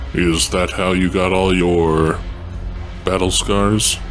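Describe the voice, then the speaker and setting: A man's put-on character voice, very deep and low, delivered at a very slow pace against clear background noise. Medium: role play. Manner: blunt, terse.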